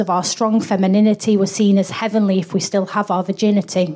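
This woman has a normal speaking voice at a medium pitch. She talks at a fairly quick pace. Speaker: comedian. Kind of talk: live comedy chat. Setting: stage with audience.

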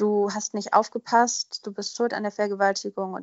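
In an unremarkable speaking voice, the speaker keeps a moderate pace with fairly even intonation. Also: woman. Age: 20s. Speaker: podcast guest sharing personal story. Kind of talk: personal testimony interview.

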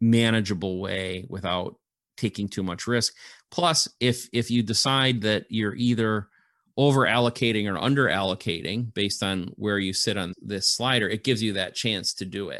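A man speaks at a fairly low pitch in an ordinary speaking voice. The background stays quiet. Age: 50s. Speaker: crypto investment educator. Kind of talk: interview.

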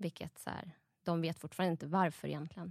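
A woman with a plain, everyday voice at a fairly low pitch, on a very clean recording with a silent background and a dry, close sound with no echo. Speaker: new mother. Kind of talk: casual chat.

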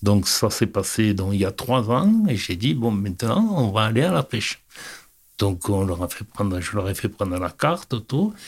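Recorded very cleanly against a silent background, a man with a fairly low pitch and a somewhat breathy voice talks at a fairly slow pace with ordinary pitch variation. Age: 70s. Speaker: fishing club president. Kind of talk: interview. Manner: halting.

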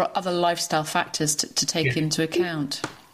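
A woman speaks very fast at a fairly low pitch with monotone, flat intonation. Noticeable background noise runs underneath. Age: 40s. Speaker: yoga teacher and podcast host. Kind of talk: interview.

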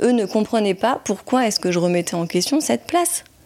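A woman speaks in a fairly high voice. Her tone is dark and mellow. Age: 30s. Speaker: podcast guest sharing her psychoanalysis experience. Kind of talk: testimony. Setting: in the host's home. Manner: halting, many hesitations.

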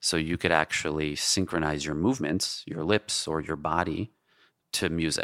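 With a New York accent, a man speaks at a moderate pace in a very deep, low pitch with ordinary pitch variation, the sound dry and close with no echo in a very clean recording with a silent background. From New York City (Queens). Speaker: tech entrepreneur and app creator. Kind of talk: casual interview conversation.

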